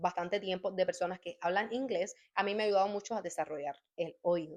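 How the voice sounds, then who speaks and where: Medium pitch and a moderate pace from a woman, with ordinary pitch variation. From Cuba. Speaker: YouTuber sharing language-learning tips. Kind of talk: casual vlog talk.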